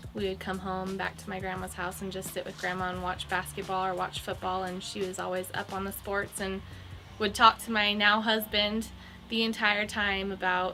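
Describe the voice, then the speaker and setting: Music plays in the background as a woman talks. Her medium pitch holds a monotone, flat intonation at a moderate pace. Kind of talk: interview answer.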